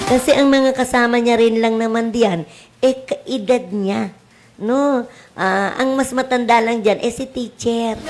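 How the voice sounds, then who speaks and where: Over noticeable background noise, a woman talks with a fairly high pitch and fairly even intonation. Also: fairly slow pace. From Cavite, Philippines. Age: old. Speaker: teacher and radio host. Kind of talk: radio talk show advice. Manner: loud.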